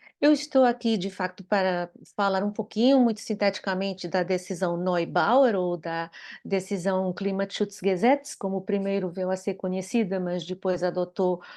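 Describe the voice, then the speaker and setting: Against a quiet background, a woman speaks at a medium pitch in a dark, mellow tone with ordinary pitch variation. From Portugal. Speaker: law professor. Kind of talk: lecture.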